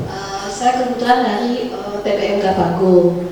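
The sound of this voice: A woman's medium-pitched voice with ordinary pitch variation and audible room echo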